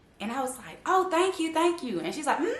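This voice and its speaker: Amid noticeable background noise and audible room echo, a woman speaks at a moderate pace in a high-pitched, animated tone. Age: 30s. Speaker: YouTuber. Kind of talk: casual vlog chat.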